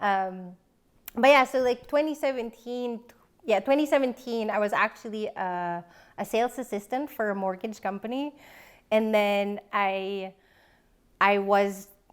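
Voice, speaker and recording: Over a silent background in a very clean recording, a woman with a Filipino accent speaks at a moderate pace in a fairly high voice with ordinary pitch variation, leaving long, frequent pauses. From Philippines. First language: Filipino language. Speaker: professional organizer. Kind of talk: casual interview.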